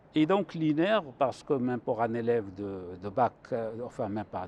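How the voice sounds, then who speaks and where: The man's intonation is lively, though his delivery is fairly slow. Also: dry, close sound with no echo. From Morocco, Chaouia region (Benslimane). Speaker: mathematics professor. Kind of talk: TV interview, explaining mathematics. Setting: TV studio on a university campus. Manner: hesitant, with fillers and restarts.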